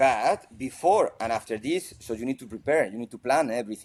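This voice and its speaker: Here a man with a Spanish accent speaks at a medium pitch. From Spain. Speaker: football coach. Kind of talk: interview. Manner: halting.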